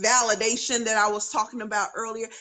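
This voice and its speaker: A woman with a North Carolina accent, an animated tone, a bright, sharp tone and fairly high pitch. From North Carolina, US South. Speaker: author and education speaker. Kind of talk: interview on live video stream. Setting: live video stream.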